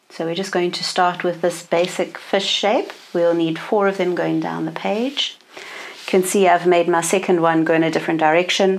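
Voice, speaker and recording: Moderate pace with hardly any pauses, over noticeable background noise. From South Africa, east coast. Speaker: art tutorial presenter. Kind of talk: tutorial.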